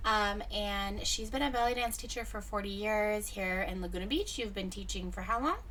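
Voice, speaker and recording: A woman talks with hardly any pauses. Room echo is audible. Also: moderate pace. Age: 30s. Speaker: radio host. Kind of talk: interview. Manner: animated.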